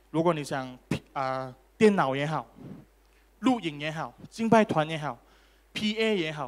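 A man with an animated tone speaks at a fairly high pitch, his pitch varying in an ordinary way. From Malaysia. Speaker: preacher. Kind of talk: sermon; preacher in full flow, rousing sermon with crowd call-and-response. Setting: church. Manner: animated, interactive, repeated OK and Amen calls to congregation; fervent, emphatic, urging in full flow. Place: church. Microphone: handheld.

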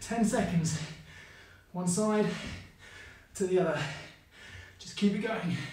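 A high-voiced man speaks very slowly with fairly even intonation. Audible room echo surrounds his voice. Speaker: fitness instructor. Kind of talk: workout instruction. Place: gym.

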